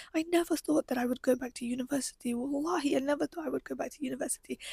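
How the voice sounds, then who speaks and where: A woman with a British accent talks at a very fast pace in a high pitch, her tone animated, with a dry, close sound that has no echo. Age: 20s. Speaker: podcaster. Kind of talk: personal monologue. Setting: live stream from bedroom.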